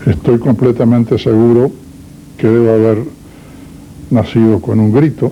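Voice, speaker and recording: Noticeable background noise under a man's medium-pitched voice, at a fairly slow pace. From Uruguay, Salto. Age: 80s+. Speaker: interviewee, doctor. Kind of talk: interview. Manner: formal.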